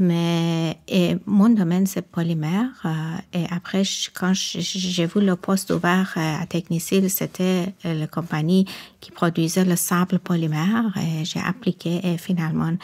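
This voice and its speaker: A woman with a slight non-native accent talks at a very slow pace with hardly any pauses, her fairly low pitch held in a monotone, flat intonation on a very clean recording with a silent background. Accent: slight foreign. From Iran. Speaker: research and quality lab employee. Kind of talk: podcast interview. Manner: halting.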